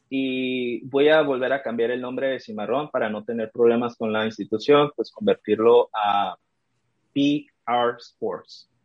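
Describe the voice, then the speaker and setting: Medium in pitch, a man speaks with ordinary pitch variation. His pace is fairly slow. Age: 20s. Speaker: sports marketing entrepreneur. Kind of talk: interview. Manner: halting.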